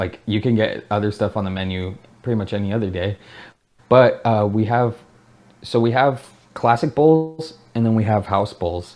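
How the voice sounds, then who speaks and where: Over a quiet background, a man with a West Coast US accent speaks at a moderate pace in a fairly low voice, with ordinary pitch variation and long, frequent pauses. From Oregon, US (Salem). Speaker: ramen shop owner and chef. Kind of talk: casual interview chat. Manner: casual, filler-heavy speech.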